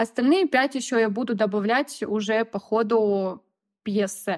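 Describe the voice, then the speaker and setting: A woman speaks in a normal speaking voice, fairly high-pitched, with ordinary pitch variation and a fairly slow pace. The recording is very clean with a silent background and a dry, close sound with no echo. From Russia, Voronezh region. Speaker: sewing blogger. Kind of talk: casual chat.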